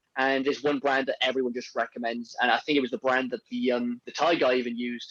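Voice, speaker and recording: Recorded with a dry, close sound and no echo, a man speaks at a very fast pace with a medium pitch and fairly even intonation. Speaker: podcast host. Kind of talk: casual chat.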